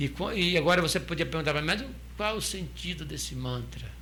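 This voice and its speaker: At a fairly quick pace, the voice carries audible room echo. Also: man. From southern Brazil. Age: 60s. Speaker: restaurant owner and former Hare Krishna monk. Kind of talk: interview, explaining spiritual teachings. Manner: hesitant, many restarts and fillers.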